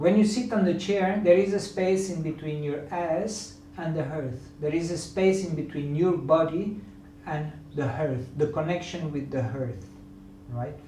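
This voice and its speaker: A man's fairly high, lively voice with a non-native accent at a fairly slow pace, with audible room echo and noticeable background noise. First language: not English. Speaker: yoga teacher. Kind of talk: lecture. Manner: halting.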